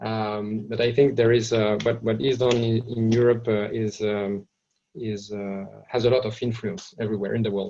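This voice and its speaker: This is a man speaking. He has a French accent. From France. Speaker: trade association executive. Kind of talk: webinar presentation. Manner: halting, many fillers and repetitions.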